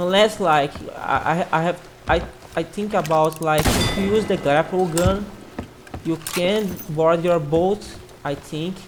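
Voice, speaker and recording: A woman with a non-native accent speaks at a fairly low pitch and a fairly slow pace, with fairly even intonation. Her speech has long, frequent pauses, and there is noticeable background noise. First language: not English. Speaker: gaming youtuber. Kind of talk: casual commentary. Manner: halting, many repetitions.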